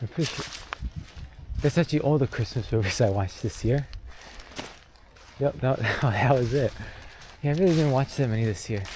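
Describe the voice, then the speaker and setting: A soft-spoken man at a medium pitch with ordinary variation, a fairly quick pace and long, frequent pauses, over noticeable background noise. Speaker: vlogger. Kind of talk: casual monologue while walking. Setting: outdoors on a trail. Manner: hesitant, filler-heavy.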